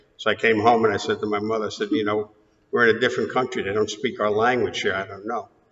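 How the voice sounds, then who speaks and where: The pace of speech is very fast. It comes in a New York accent. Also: man. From New York, Queens. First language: Greek. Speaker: interviewee in oral history. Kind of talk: oral history interview.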